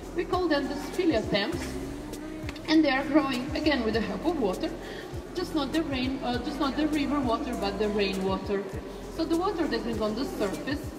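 Spoken at a fairly quick pace, the voice comes over clear music in the background. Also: woman. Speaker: cave tour guide. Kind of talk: guided tour explanation. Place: tunnel cave. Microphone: camera far.

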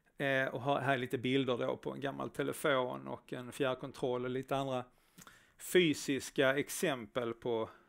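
The pace is fairly slow and the intonation fairly even. Behind the voice, the background is quiet. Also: man. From Skåne, southern Sweden. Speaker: front-end developer, conference speaker; presenter. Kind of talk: conference talk. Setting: stage with live audience, streamed. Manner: hesitant, many filler sounds. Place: stage.

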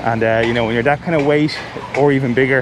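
With noticeable background noise and a dry sound with no echo, a man speaks in a monotone, flat intonation. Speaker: vlogger. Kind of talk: casual vlog chat. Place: open country. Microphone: phone near.

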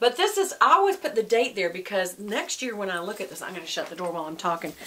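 A woman speaking at a very fast pace amid noticeable background noise. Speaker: devotional host. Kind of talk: devotional teaching talk. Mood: warm, earnest. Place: home room.

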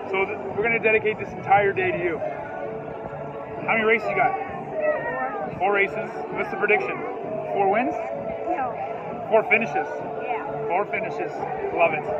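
A man speaks at a moderate pace with long, frequent pauses, the sound dry with no echo and music clearly in the background. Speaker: parent vlogger. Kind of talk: casual vlog chat. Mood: joking, upbeat. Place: open country. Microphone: phone near.

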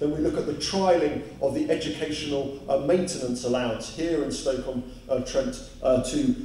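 A man at a fairly quick pace with ordinary pitch variation, audible room echo and light background noise. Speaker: speaker. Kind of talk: public speech. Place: hall.

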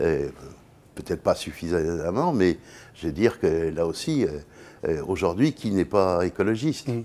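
A man with a very deep, low pitch and a dark, mellow tone speaks at a fairly slow pace with lively intonation and long, frequent pauses. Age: 70s. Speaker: business executive; interview guest. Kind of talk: interview. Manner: halting. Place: studio. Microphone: lapel.

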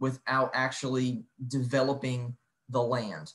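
With a somewhat breathy voice, a man speaks at a fairly high pitch. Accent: American. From US Midwest. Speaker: national park historian; presenter. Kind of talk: online lecture presentation. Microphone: video call.

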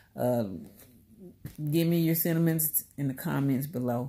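The woman's tone is dark and mellow. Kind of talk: casual vlog chat. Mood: earnest, reflective. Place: home room. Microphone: phone near.

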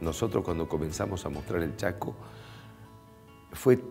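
Lively intonation over faint music in the background. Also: man. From Bolivian Chaco. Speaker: radio announcer and TV presenter. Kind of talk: interview answer. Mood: warm, reflective. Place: studio. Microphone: lapel.

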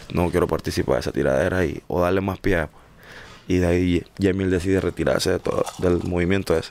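A man's very deep, low voice at a fairly quick pace, with vocal fry, very even loudness and fairly even intonation. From Panama, San Miguelito. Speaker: singer. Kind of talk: interview.

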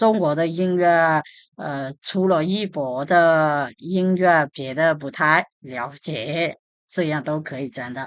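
The speech moves at a very slow pace with big swings in loudness. The background is quiet. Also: woman, very deep, low pitch for a woman, ordinary pitch variation. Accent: Burmese. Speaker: language teacher. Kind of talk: tutorial.

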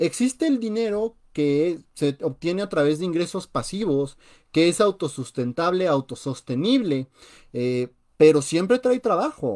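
Speaking in a Mexican accent, a man has an animated tone. The background is quiet. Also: fairly slow pace. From Mexico. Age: 20s. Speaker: personal finance youtuber. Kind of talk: live radio talk on finance. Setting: live stream. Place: home room. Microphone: webcam.

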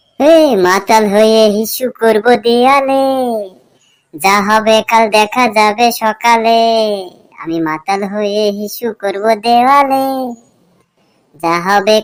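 A woman performs a cartoonish character voice at a fairly high pitch. Her pitch variation is ordinary. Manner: crude, slangy.

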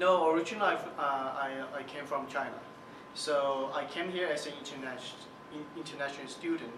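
A man talking at a fairly quick pace over loud background noise. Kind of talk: interview answer.

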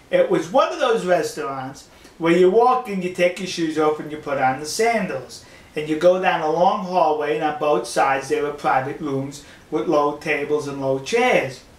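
With audible room echo, a man speaks at a moderate pace and with ordinary pitch variation. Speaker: travel vlogger. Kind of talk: casual vlog storytelling. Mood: amused, self-deprecating. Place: home room.

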